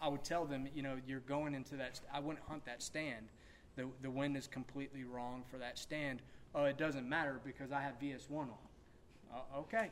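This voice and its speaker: This is a normal speaking voice with an American accent. The pace is moderate and the intonation fairly even. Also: man, fairly high pitch for a man. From South Carolina. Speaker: hunter on a panel. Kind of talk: panel Q&A. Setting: stage with audience.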